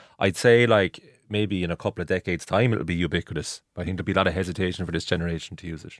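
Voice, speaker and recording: A man with an Irish accent talks very fast at a very deep, low pitch, with hardly any pauses. His loudness swings widely, and the sound is dry and close with no echo. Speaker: sports radio presenter. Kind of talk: casual chat. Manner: animated.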